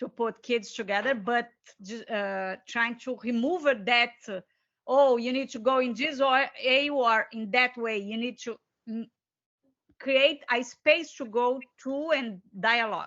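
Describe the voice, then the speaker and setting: A woman with a Brazilian Portuguese accent speaks at a fairly slow pace and a high pitch. Her loudness swings widely. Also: ordinary pitch variation. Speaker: co-author and educator. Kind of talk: seminar discussion. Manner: halting, searching for words.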